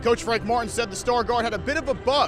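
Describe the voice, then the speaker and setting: With music in the background, a man speaks at a fairly quick pace in an extremely high pitch. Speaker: sports anchor and reporter. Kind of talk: TV news stand-up report. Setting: outdoors.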